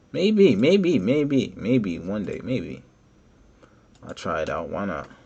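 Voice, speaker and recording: Over audible room echo, a man with a dark, mellow tone and vocal fry talks very slowly, his pitch swinging very widely and his loudness rising and falling sharply. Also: fairly low pitch for a man. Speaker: 3D modeling tutorial creator. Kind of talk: tutorial. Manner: casual, conversational.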